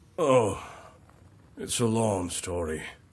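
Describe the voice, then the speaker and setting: Putting on a raspy character voice, a man speaks at medium pitch with lively intonation. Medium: video game.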